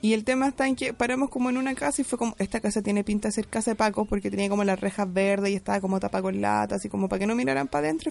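A woman speaks at a very fast pace with lively intonation and hardly any pauses. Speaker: podcast co-host. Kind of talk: casual chat.

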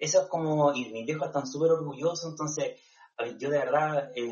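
Talking at a fairly quick pace, a man uses an ordinary speaking voice pitched fairly high. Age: 30s. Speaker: nurse. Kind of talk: interview.

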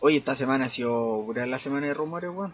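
Music plays behind a man with a Chilean accent who speaks with ordinary pitch variation. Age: 20s. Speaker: podcaster. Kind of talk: casual chat. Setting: at home. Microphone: new microphone.

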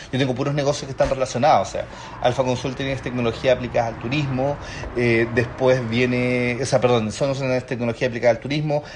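Over noticeable background noise, the man's speech moves fairly quickly. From Chile, Chiloé. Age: 30s. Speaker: business consultant and entrepreneur. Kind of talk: casual interview.

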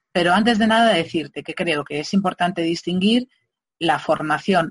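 A woman's ordinary speaking voice at a fairly low pitch, moderate pace and ordinary pitch variation, dry and close with no echo, over a quiet background. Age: middle-aged. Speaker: legal marketing consultant. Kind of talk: interview.

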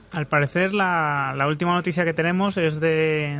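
This is a man with an ordinary speaking voice. His pitch is fairly high and his intonation fairly even. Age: 30s. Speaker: football blogger. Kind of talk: round-table debate. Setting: restaurant.

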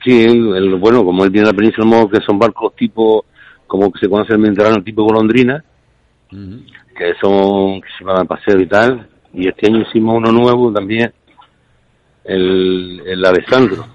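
Fairly low pitch, a moderate pace and fairly even intonation from a man with a plain, everyday voice. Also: dry, close sound with no echo. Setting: phone call.

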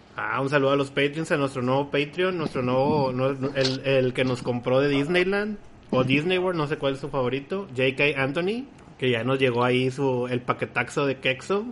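A man's fairly high pitch in a Mexican accent, at a moderate pace with ordinary pitch variation over noticeable background noise. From Mexico, Guadalajara. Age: 30s. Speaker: podcast host. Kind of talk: casual chat.

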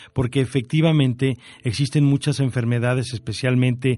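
A man speaks at a medium pitch with ordinary pitch variation and a moderate pace. His tone is dark and mellow. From Mexico City. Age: 50s. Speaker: orthopedic surgeon and university director. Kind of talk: radio interview. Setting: radio studio. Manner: hesitant, many fillers.

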